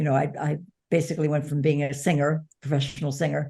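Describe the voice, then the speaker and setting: Her voice is very deep and low, with a dark, mellow tone that is somewhat breathy, and the background is quiet. This woman speaks at a fairly quick pace in a monotone, flat intonation. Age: 70s. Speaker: author and former publicist, caregiver. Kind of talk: interview conversation.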